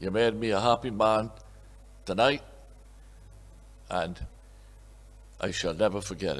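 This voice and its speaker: On a very clean recording with a silent background, a man with a fairly low, fry-edged voice speaks at a moderate pace, his pitch varying ordinarily, with long, frequent pauses. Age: 80s+. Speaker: honorary award recipient, businessman. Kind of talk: acceptance speech. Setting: awards dinner.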